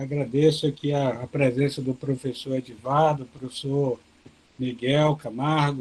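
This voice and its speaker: Soft-spoken and very slow, a man talks at a medium pitch with monotone, flat intonation. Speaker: professor of agronomy giving a webinar talk. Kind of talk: lecture. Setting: video call webinar.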